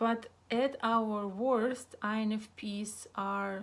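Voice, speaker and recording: The speaker uses monotone, flat intonation in a Russian accent. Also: woman. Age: 30s. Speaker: psychotherapist and vlogger. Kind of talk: casual monologue vlog. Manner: halting, many fillers.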